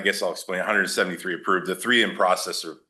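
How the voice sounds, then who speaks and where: A man speaks against a quiet background. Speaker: staffing agency district manager. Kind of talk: presentation to school board. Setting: board meeting with microphone. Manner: loud, voice carries.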